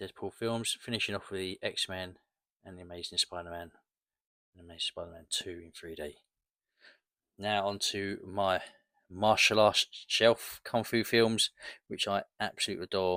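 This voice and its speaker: Pausing long and often at a moderate pace, a man with a fairly low pitch and a bright, sharp tone holds a fairly even intonation while his loudness swings widely, on a very clean recording with a silent background. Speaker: collector YouTuber. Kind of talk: casual show-and-tell video. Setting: at home, late at night. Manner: hushed, quiet.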